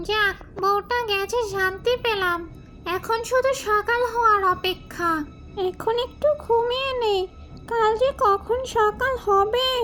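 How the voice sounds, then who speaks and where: Over clear background music, a female-sounding cartoonish character voice speaks at a fairly slow pace in an extremely high pitch. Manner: sighing, self-pitying, muttering to herself.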